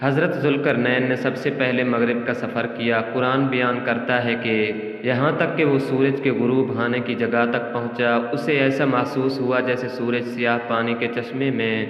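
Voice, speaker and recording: Over noticeable background noise, a man's medium-pitched voice holds a very even loudness and a monotone, flat intonation. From Pakistan. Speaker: voice-over artist. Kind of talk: Islamic story narration.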